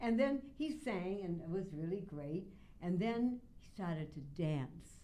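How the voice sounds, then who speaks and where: A woman speaks fairly slowly at a medium pitch with very wide pitch swings. Her tone is dark and mellow, with audible room echo. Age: 80s+. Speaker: radio host. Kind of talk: interview. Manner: animated.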